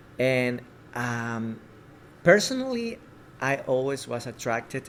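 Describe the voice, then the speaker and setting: With a Spanish accent, a man talks at a very slow pace, using a medium pitch and fairly even intonation. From Ecuador. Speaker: filmmaker and actor. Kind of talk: interview. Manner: halting.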